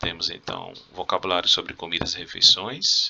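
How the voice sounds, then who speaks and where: A man talks at a fairly slow pace. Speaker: Spanish teacher. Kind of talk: video lesson, exam review. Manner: casual, conversational.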